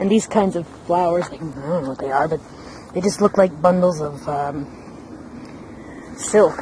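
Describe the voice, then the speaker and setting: Against noticeable background noise, a woman whispers softly at a moderate pace. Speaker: travel vlogger. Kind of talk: casual vlog narration. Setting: outdoors in a garden. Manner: whispering softly.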